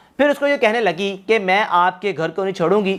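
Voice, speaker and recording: Lively in intonation, a man speaks in a high voice. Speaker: YouTube storyteller. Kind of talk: true crime story narration.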